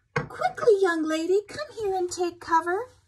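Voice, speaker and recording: A woman's put-on character voice, squeaky and extremely high-pitched, at a moderate pace. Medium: read story.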